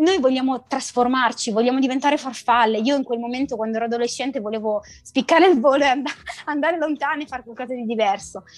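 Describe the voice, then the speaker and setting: A woman at a high pitch and very fast pace, with ordinary pitch variation. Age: 30s. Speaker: entrepreneur in digital consulting. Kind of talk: interview. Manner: halting.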